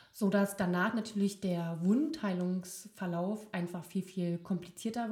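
The voice has a dark, mellow tone, is somewhat breathy, and moves at a fairly slow pace with ordinary pitch variation. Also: woman. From near Berlin. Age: 30s. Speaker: occupational therapist. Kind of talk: casual chat. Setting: living room. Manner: halting, many fillers.

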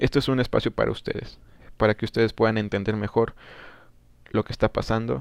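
A man talks at a very fast pace yet with long, frequent pauses, his medium pitch and fairly even intonation captured in a dry, close sound with no echo. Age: 20s. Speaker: podcast host, recent law graduate. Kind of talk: solo political commentary. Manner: hesitant, many fillers.

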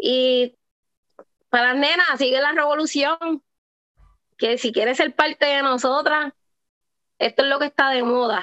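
Raising and projecting her high-pitched voice, a woman speaks at a fairly slow pace with long, frequent pauses. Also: dry, close sound with no echo. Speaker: professional wrestler. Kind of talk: interview.

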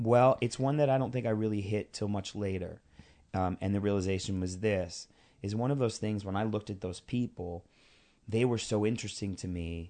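Against a quiet background, a man with an American accent speaks at a fairly quick pace in a dark, mellow tone, his fairly low pitch showing ordinary variation. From New York City (Queens). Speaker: actor and director. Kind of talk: casual interview chat.

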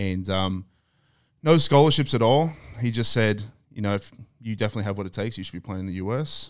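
A man speaks with an Australian accent at a fairly low pitch. His pace is very fast, broken by long, frequent pauses. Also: ordinary pitch variation. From Australia (Queensland, Thursday Island). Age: 30s. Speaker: former NFL player. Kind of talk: casual chat.

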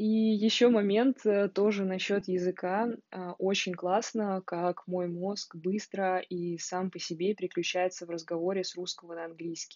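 At a fairly slow pace, a woman with a medium pitch and fairly even intonation talks in an unremarkable speaking voice. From Russia, Moscow. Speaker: podcaster. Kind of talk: audio diary. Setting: sunlit room at home.

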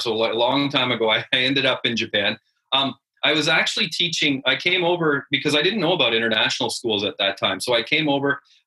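Here is a man with a Canadian accent and a plain, everyday voice. His pitch is fairly high and his intonation lively. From rural Canada. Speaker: head teacher. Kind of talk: interview.

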